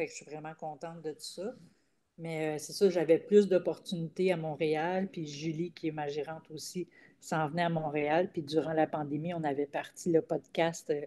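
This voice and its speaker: With a dark, mellow tone and big swings in loudness, a woman speaks at a very deep, low pitch. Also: fairly even intonation, moderate pace. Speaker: comedian. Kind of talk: casual chat. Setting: video call.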